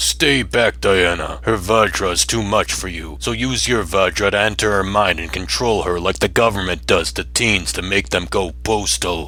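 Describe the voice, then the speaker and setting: A man's put-on character voice, very deep and low, at a moderate pace with hardly any pauses, over clear background noise. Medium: fan dub. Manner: condescending, controlling.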